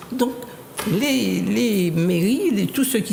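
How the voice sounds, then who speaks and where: A woman talks fairly slowly, and noticeable background noise can be heard behind her. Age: 60s. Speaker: association activist. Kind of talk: panel discussion. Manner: halting, many repetitions.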